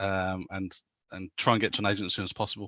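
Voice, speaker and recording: A man with a Birmingham accent at a very fast pace. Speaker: tech panellist. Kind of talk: panel discussion. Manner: hesitant with repetitions.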